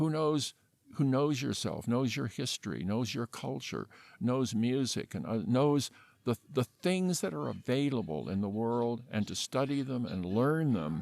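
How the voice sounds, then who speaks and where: Recorded very cleanly against a silent background, a man with an American accent speaks at a moderate pace. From California. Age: 70s. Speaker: animal shelter founder. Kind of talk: interview. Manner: halting.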